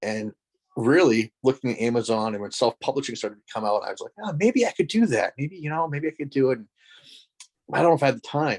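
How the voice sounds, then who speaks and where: With an American accent, a man talks at a very fast pace in a fairly high pitch, using lively intonation and big swings in loudness, in a dry, close sound with no echo. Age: 40s. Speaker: author and education lecturer. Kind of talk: podcast interview.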